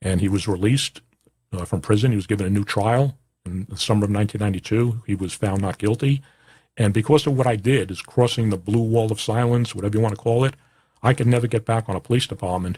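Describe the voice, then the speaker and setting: Talking at a very fast pace, a man with a fairly low pitch and a dark, mellow, somewhat breathy tone keeps his intonation fairly even on a very clean recording with a silent background. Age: 60s. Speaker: podcast host, former police officer. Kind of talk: personal monologue. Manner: halting, many fillers.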